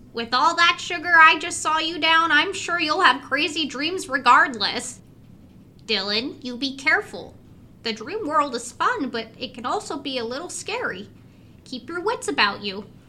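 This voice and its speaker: A female-sounding put-on character voice, high in pitch, at a moderate pace. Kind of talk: horror podcast audio drama. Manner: warm, cheerful, a little mysterious.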